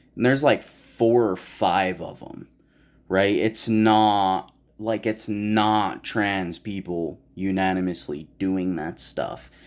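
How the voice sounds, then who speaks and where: Fairly low in pitch, a man speaks at a very slow pace with fairly even intonation. The recording is very clean, with a silent background. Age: 20s. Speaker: YouTuber. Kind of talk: personal vlog monologue. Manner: hesitant, many fillers.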